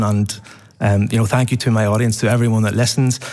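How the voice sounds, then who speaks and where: In an Irish accent, a man speaks with fairly even intonation. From Ireland. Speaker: podcast host, award winner. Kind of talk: award acceptance interview. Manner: halting, repeats words.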